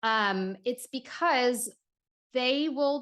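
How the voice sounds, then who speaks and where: A woman talks in an animated tone with a New York accent. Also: quiet background. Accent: sounds like a New Yorker. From New Orleans. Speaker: neuroscience and sensory regulation expert. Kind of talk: casual podcast interview.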